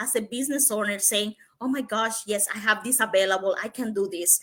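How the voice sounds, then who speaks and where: With a non-native accent, a woman talks in a bright, sharp tone at a fairly high pitch, using ordinary pitch variation. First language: Spanish. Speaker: digital entrepreneur. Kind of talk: interview. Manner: halting.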